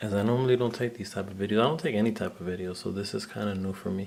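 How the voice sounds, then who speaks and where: A man speaks quietly at a fairly low pitch. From Puerto Rican background. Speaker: action figure collector and photographer. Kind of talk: casual video talk. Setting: at home in living room. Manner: kept quiet, low voice.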